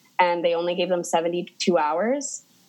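Ordinary variation in pitch within a normal speaking voice. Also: woman. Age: 20s. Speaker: makeup artist. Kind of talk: casual chat. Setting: video call.

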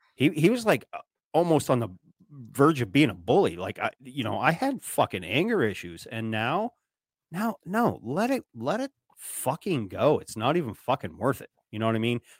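A man's fairly high voice with vocal fry and very wide pitch swings at a moderate pace, on a very clean recording, silent background, with a dry, close sound with no echo. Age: 40s. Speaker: podcaster. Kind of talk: casual chat.

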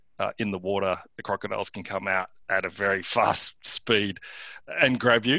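A man with an Australian accent speaks at a fairly low pitch and a moderate pace, his tone bright and sharp. His intonation stays fairly even, with a dry, close sound and no echo. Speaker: tech startup founder. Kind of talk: interview. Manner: halting.

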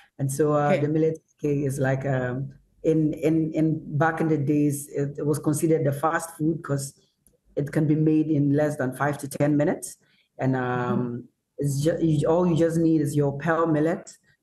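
Speaking at a moderate pace, a man with a fairly high pitch sounds somewhat breathy, with a dark, mellow tone and monotone, flat intonation. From northern Ghana. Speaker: chef. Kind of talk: online panel discussion. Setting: video call.

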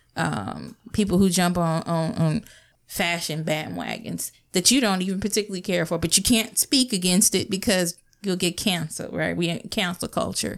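A woman with an American accent speaks fairly low with vocal fry, ordinary pitch variation and a moderate pace, on a very clean recording with a silent background. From northern US, later US South. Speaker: podcast co-host. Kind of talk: casual group chat.

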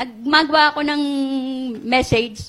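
The speaker uses a raised, projected voice at a moderate pace. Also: woman. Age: 70s. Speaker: guest pastor. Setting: church, live in front of a congregation. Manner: animated, emotionally charged, pleading; shifting between Tagalog and English, with some halting restarts.

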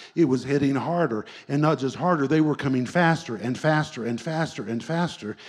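Lively intonation marks this man's a plain, everyday voice. His pitch sits fairly high. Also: very clean recording, silent background. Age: 60s. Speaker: pastor. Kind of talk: sermon. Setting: church.

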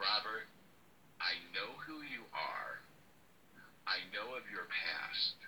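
A man's guttural, put-on character voice at a very slow pace. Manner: menacing.

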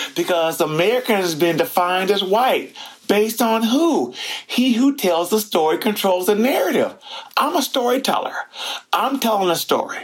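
A man with a high voice speaks at a moderate pace with lively intonation and very even loudness over noticeable background noise. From Detroit, US Midwest; raised in Seattle area. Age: 60s. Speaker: museum curator and storyteller. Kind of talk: interview.

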